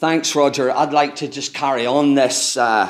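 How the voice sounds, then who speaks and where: A man talks with a strong Irish accent. His pitch is fairly high and his pace moderate. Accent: broad Irish. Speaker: lighting industry technical manager. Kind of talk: technical presentation to audience. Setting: stage with audience. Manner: conversational, interactive.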